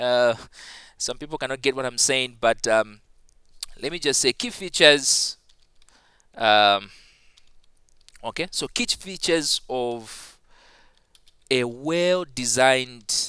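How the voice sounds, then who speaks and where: A man of medium pitch with a bright, sharp tone, ordinary pitch variation and a very slow pace broken by long, frequent pauses, on a very clean recording with a silent background. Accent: non-native. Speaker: ICT teacher. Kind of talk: tutorial. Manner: halting with many fillers.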